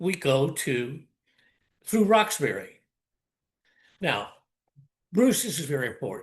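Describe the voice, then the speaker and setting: With an American accent and vocal fry, a man talks at a moderate pace in a fairly high pitch, his pitch swinging very widely between long, frequent pauses. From US South, South Carolina Lowcountry. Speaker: storyteller. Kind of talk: personal storytelling. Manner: animated.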